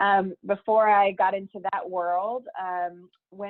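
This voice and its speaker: Fairly even intonation from a woman at a medium pitch. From Texas. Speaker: higher education administrator, former professor. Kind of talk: interview.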